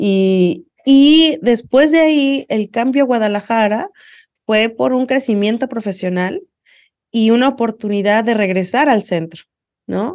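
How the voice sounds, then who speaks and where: Against a quiet background, a woman with a plain, everyday voice speaks at a fairly slow pace, with fairly high pitch and lively intonation. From Mexico City. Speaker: university dean. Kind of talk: interview.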